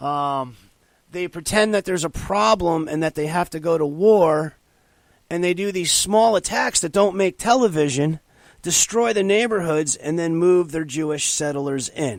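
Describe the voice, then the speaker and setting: A man speaks loudly. His pitch is high. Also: very clean recording, silent background. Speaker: talk radio host. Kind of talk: political talk radio monologue. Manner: loud, forceful ranting.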